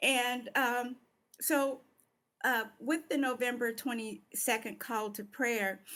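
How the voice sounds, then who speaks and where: A woman's high, bright, sharp voice with fairly even intonation at a very slow pace. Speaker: talk show host and pastor. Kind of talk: casual chat. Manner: halting.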